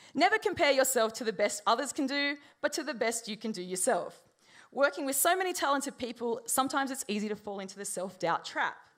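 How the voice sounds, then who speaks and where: On a very clean recording with a silent background, a woman speaks very fast in a high voice, her pitch swinging very widely. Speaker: designer at a conference talk. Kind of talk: conference talk.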